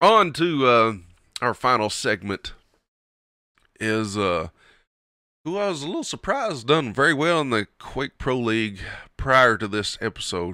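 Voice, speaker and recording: With a Kentucky accent, a man speaks at a fairly slow pace in a bright, sharp, animated tone. His intonation is lively, and the recording is very clean with a silent background. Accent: Southern US (Kentucky twang). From Kentucky, US South. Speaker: podcast host and streamer. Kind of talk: casual solo show, commentary. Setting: home recording, not live. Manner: casual, rambling, animated.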